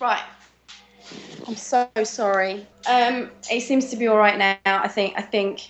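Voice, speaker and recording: Over music in the background, a woman speaks at a fairly high pitch and a fairly slow pace, with fairly even intonation and long, frequent pauses. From England. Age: 30s. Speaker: voice actress. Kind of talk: interview. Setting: video call.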